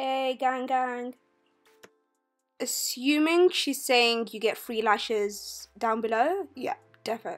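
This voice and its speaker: With music in the background, a woman with a high pitch speaks at a very slow pace, leaving long, frequent pauses and using ordinary pitch variation. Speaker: friend narrating a makeup video. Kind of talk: comedic voice-over narration. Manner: playful, joking.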